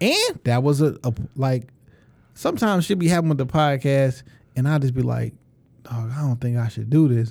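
This man speaks in a Detroit accent. His pitch shows ordinary variation. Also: medium pitch for a man, moderate pace. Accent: Detroit urban American English. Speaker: podcast co-host and former rapper. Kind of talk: casual chat. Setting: studio. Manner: animated, boastful.

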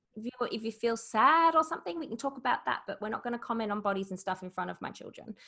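A woman with an Australian accent talks at a very fast pace with hardly any pauses, her fairly high pitch carrying lively intonation and a bright, sharp tone. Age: 40s. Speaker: business founder. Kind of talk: interview.

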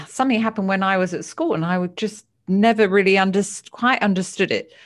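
In a British accent, a woman talks at a medium pitch. Her recording is very clean and the background is silent. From United Kingdom. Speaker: psychotherapist and author. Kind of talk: interview.

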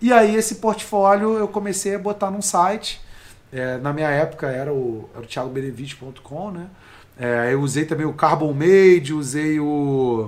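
Using a plain, everyday voice, a man speaks at a moderate pace with fairly high pitch, lively intonation and big swings in loudness. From Brazil, Rio de Janeiro (Baixada Fluminense). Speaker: life coach. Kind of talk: casual interview chat.

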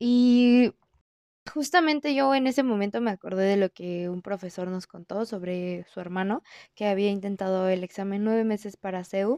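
The voice has a dark, mellow tone and ordinary pitch variation at a moderate pace. The sound is dry and close with no echo, over a quiet background. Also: woman, medium pitch for a woman. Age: 20s. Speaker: university student podcaster. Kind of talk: personal monologue. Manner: casual.

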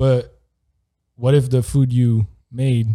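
A man's somewhat breathy voice has a dark, mellow tone and sits at a medium pitch. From Switzerland. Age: 30s. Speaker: former American football player. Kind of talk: casual chat.

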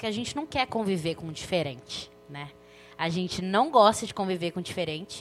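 A woman with a medium-pitched voice talks at a fairly quick pace with lively intonation and big swings in loudness, over music in the background. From Belo Horizonte, Brazil. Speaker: journalist and author. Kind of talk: casual chat.

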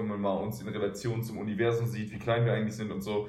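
A man of medium pitch talks with fairly even intonation, with audible room echo and noticeable background noise in the recording. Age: 20s. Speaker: professional basketball player. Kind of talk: interview.

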